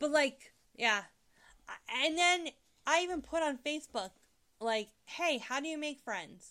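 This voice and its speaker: Raising and projecting her voice, a woman with a high pitch and a bright, sharp tone leaves long, frequent pauses on a very clean recording with a silent background. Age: 30s. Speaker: host's wife, non-gamer. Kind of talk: casual chat.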